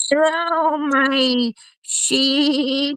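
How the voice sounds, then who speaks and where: The pitch is high. It comes from a put-on character voice. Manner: bleating, silly.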